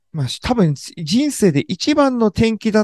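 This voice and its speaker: A man's voice with very wide pitch swings, dry and close with no echo, over a quiet background. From Japan, Kanagawa (Sagamihara). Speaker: journalist. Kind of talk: interview.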